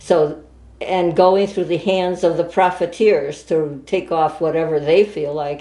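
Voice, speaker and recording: Her dark, mellow tone sits at a fairly low pitch as this woman speaks at a fairly slow pace. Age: 80s+. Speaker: school board candidate. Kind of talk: interview.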